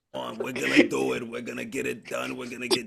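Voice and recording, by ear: A man rattles off lines at a very fast pace in a raspy, put-on character voice.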